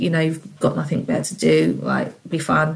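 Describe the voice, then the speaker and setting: Speaking with a London accent, a woman keeps a moderate pace. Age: 30s. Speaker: single mother. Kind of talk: interview.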